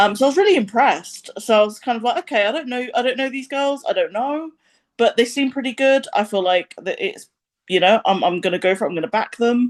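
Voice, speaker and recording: In a British accent, a woman talks very fast in a high-pitched voice with very wide pitch swings. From England. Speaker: music reviewer. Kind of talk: casual chat. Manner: hesitant, many ums.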